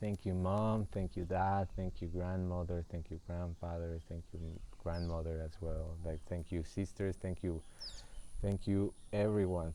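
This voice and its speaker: A man speaks with a very deep, low pitch and a dark, mellow tone. His pace is moderate. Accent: Spanish. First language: Spanish. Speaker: spiritual guide. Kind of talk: livestream spiritual talk. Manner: halting.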